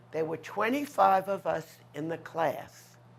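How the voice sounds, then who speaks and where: A woman speaks with a New York accent in a fairly low pitch. Her pace is very slow. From New York City, Manhattan west side. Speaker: artist. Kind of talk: interview, life story.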